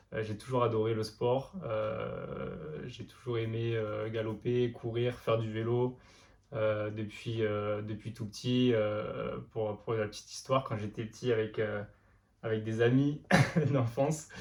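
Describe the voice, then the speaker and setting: Delivered at a very slow pace, the somewhat breathy voice keeps a monotone, flat intonation. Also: man, medium pitch for a man. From France, Lozère (Mende). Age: 20s. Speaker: amateur runner and notary. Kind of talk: interview. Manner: many hesitations (euh).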